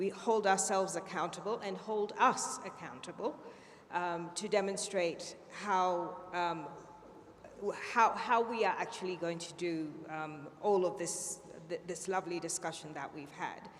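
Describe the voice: A woman talks at a fairly slow pace. Her pitch is fairly low, with ordinary variation.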